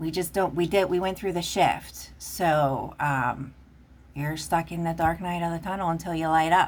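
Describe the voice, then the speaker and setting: A woman speaks with a Pittsburgh accent and a fairly low pitch. Her intonation is fairly even. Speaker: tarot reader. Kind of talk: tarot reading.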